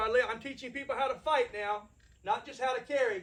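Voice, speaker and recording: Raising and projecting his voice, a man speaks at a fairly quick pace with a bright, sharp tone, an extremely high pitch and ordinary pitch variation. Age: 60s. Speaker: firearms instructor. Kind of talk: lecture. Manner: blunt, plain-spoken.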